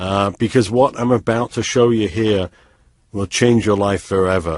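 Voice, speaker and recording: Speech comes at a moderate pace. There is a slight British accent. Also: man. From US, San Francisco. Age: 30s. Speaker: online trading promoter. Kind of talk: sales pitch. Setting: webinar.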